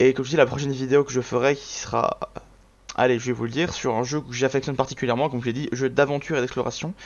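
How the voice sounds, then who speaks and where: A man's very fast speech in a monotone, flat intonation. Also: medium pitch for a man. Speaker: gaming YouTuber. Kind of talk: casual video commentary.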